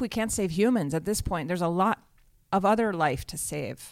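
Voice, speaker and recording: A woman with a plain, everyday voice, medium pitch, fairly quick pace and lively intonation, on a very clean recording with a silent background. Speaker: podcast host. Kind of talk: casual banter and interview.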